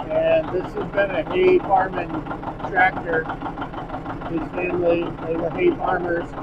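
Speech at a fairly slow pace comes through loud background noise. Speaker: tractor owner. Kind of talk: casual vlog chat. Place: farm machine. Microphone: phone near.

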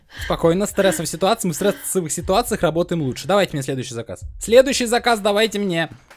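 A man's high-pitched, animated voice at a very fast pace, lively intonation and music in the background. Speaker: gaming youtuber. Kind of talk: let's play commentary.

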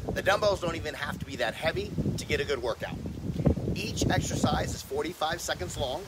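Loud background noise behind a man talking at a fairly quick pace. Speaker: fitness trainer. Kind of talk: workout tutorial intro. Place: garden.

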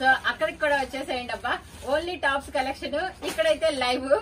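A woman's high-pitched voice over light background noise. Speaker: online clothing seller. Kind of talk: casual vlog chat. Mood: cheerful, smiling. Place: home room. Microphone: phone near.

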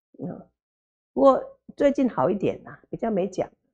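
Pitched fairly high, a woman's dark, mellow voice shows vocal fry and very wide pitch swings. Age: 60s. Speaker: Buddhist nun lecturer. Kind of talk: sutra lecture. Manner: slow, many filler particles. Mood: warm, humorous.

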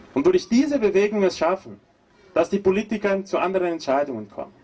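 A high male voice with very wide pitch swings, over noticeable background noise. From Brazil. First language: Portuguese (speaking German). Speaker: agroecology professor and activist. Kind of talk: protest speech.

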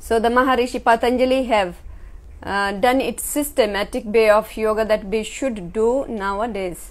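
Speech moves at a fairly slow rate. Intonation holds fairly level. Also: woman, fairly high pitch for a woman. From India, Himachal Pradesh. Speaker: yoga teacher. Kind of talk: lecture. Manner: short phrases paused for interpreter. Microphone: camera far.

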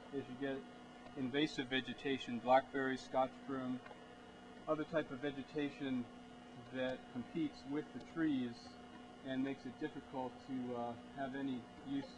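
A man talks at a moderate pace in a monotone, flat delivery with long, frequent pauses, against noticeable background noise. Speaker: forestry tour guide. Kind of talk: explanatory tour commentary. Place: forest. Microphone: camera far.

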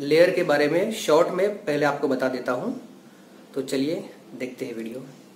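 Audible room echo and light background noise accompany a man speaking fairly slowly with ordinary pitch variation. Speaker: road construction vlogger. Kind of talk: casual vlog chat.

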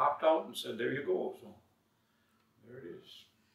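Audible room echo surrounds a man talking with an American accent. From Minnesota. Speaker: songwriter; guest. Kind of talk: casual interview chat. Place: studio.

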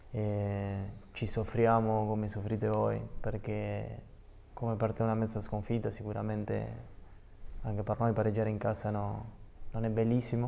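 A man at a fairly slow pace, with long, frequent pauses. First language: Spanish (speaking Italian). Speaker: professional footballer; guest. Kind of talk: TV sports interview; interview answer. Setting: TV studio. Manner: halting. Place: studio. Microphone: lapel.

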